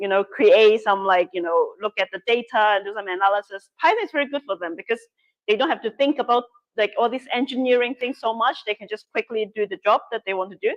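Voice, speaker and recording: In a Cantonese accent, the speaker talks at a very fast pace with ordinary pitch variation, the sound dry and close with no echo. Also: woman, fairly high pitch for a woman. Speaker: workshop instructor. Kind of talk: workshop Q&A.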